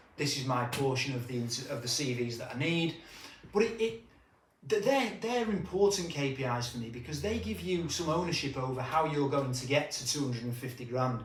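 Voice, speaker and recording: A man talks at a fairly quick pace with fairly high pitch and lively intonation. There is audible room echo and noticeable background noise. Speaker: recruitment business trainer. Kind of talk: business tutorial. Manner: fast.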